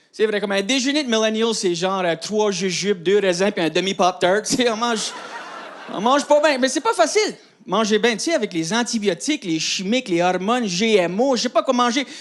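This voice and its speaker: A man at high pitch with lively intonation and a fairly quick pace, over noticeable background noise. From Acadian New Brunswick, Canada. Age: 30s. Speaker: comedian. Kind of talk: stand-up.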